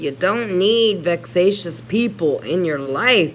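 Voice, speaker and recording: A woman with a fairly low voice speaks at a very slow pace, her pitch swinging very widely. Noticeable background noise runs underneath. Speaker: YouTube livestreamer. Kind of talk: casual livestream chat reading comments.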